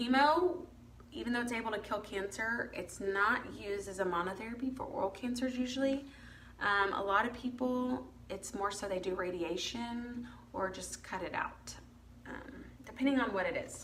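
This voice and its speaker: A woman's voice with ordinary pitch variation amid noticeable background noise and audible room echo. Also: moderate pace. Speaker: dental hygienist. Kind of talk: casual livestream talk. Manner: casual, filler-heavy.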